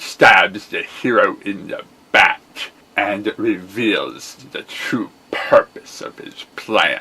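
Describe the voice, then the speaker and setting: A man puts on a character voice. His pace is very slow. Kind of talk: character voice acting. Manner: menacing, theatrical.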